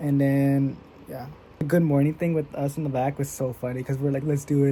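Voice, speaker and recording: The voice is quiet. It moves at a fairly quick pace. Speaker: vlogger. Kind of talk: casual chat. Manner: low energy.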